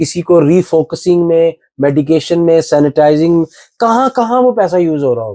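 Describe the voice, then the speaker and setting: This man's voice is high-pitched, with a dark, mellow tone and a dry, close sound that has no echo. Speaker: stand-up comedian. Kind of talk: podcast interview answer. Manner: casual, conversational.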